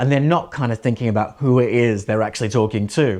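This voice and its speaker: Talking at a very fast pace, a man delivers his words in an animated tone. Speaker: presenting coach. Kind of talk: tutorial. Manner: animated, high energy.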